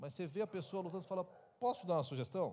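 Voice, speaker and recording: A man talks with lively intonation. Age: 60s. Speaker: pastor. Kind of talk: Q&A answer at church conference.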